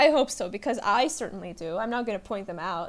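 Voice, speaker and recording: Her pitch swinging very widely, a woman speaks. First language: Russian. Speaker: podcaster. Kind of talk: casual solo podcast chat.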